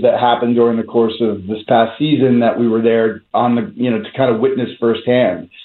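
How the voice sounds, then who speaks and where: Pitched in the medium range, a man talks with fairly even intonation in a plain, everyday voice. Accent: American. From US Northeast, North Jersey. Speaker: documentary filmmaker. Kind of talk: interview.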